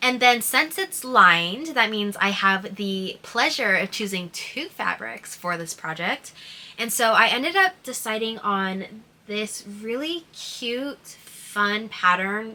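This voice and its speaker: Noticeable background noise surrounds a woman speaking at a very slow pace. Her fairly high pitch moves with lively intonation. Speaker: hobby sewist vlogger. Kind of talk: casual vlog narration. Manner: casual, filler-heavy (like, um).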